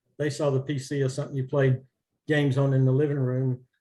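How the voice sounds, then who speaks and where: A man with an American accent speaks at a medium pitch, his tone dark and mellow and his intonation fairly even. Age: 70s. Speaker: entrepreneur. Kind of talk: panel talk.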